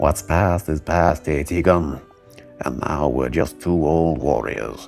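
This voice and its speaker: A man speaks at a fairly slow pace in a put-on character voice with a booming, very deep, low pitch. Clear music plays in the background. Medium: read story. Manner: hearty, jovial.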